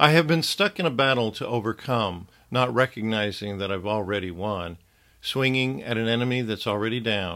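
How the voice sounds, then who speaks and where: Over a silent background on a very clean recording, a man speaks at fairly low pitch in a bright, sharp tone. His pace is moderate and his pitch variation ordinary. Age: 60s. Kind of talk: devotional teaching monologue.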